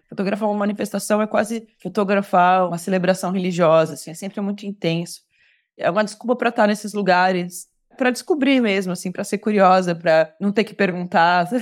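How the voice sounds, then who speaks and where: In a normal speaking voice, a woman speaks at a medium pitch and a fairly quick pace with fairly even intonation, on a very clean recording with a silent background. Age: 30s. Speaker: photojournalist. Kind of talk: interview conversation.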